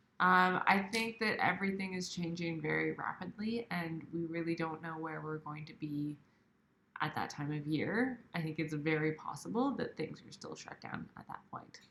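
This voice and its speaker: A woman speaks quietly at a moderate pace with a Canadian accent. Her pitch sits fairly low and varies in an ordinary way. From Canada, Ontario. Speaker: outdoor video channel co-host. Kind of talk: livestream Q&A. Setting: livestream at home, baby sleeping. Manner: quiet, subdued.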